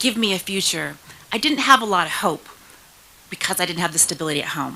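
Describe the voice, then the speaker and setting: Noticeable background noise sits behind a woman whose pitch is medium. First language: Spanish. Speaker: state senator. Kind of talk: speech.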